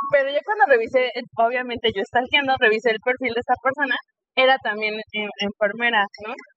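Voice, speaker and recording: A woman is speaking with a high pitch. Her pace is fairly quick. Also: ordinary pitch variation. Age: 30s. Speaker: nurse and podcast host. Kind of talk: casual interview. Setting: in person recording.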